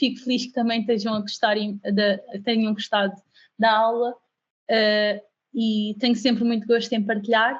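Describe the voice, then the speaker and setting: A woman's voice, fairly high in pitch. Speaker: UX/UI design instructor. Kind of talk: online class. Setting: video call. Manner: fast.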